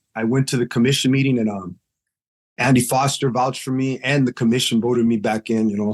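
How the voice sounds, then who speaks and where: In a normal speaking voice with an American accent, the speaker talks at a fairly quick pace with fairly even intonation. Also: man. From Los Angeles area, California. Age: 50s. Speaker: boxing referee. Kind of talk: podcast interview. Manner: casual, slangy.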